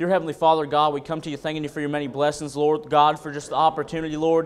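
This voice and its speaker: A man talks with an Appalachian accent. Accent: Appalachian US Southern. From North Carolina, Wilkesboro and Caldwell County area. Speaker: preacher. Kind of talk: sermon. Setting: church. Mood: earnest, reverent. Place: church. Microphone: podium.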